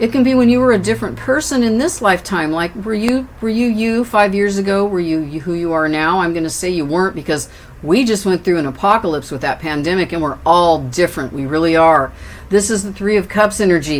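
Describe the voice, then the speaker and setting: The intonation is lively. A woman talks in an ordinary speaking voice. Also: fairly low pitch for a woman, fairly quick pace. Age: 60s. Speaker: tarot reader. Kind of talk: tarot reading. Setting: indoors with windows open.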